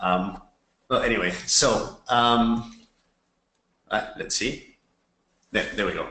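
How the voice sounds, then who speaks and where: Amid audible room echo, a man speaks very slowly in a bright, sharp tone with ordinary pitch variation. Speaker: NGO representative. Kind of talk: webinar presentation. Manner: hesitant, many fillers.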